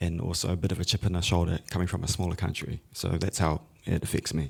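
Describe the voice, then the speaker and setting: A man's very deep, low voice at a fairly quick pace, on a very clean recording with a silent background. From New Zealand (Pacific New Zealander). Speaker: music education entrepreneur and guitarist. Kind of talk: conference panel discussion.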